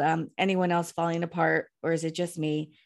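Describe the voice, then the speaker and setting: A woman speaks in a plain, everyday voice at a fairly low pitch and a fairly slow pace. The background is quiet. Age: 50s. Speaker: author and blogger. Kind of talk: casual chat.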